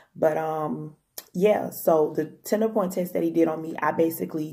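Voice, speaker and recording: This woman speaks with vocal fry and a dark, mellow tone at a very deep, low pitch. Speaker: health vlogger. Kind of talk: casual vlog talk. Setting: home. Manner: fast.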